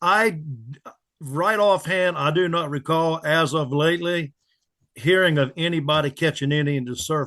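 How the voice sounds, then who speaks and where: Using a plain, everyday voice, a man with a fairly high pitch and an American accent speaks at a moderate pace with ordinary pitch variation over a quiet background. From Pamlico County, North Carolina. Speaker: charter boat captain. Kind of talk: interview answer.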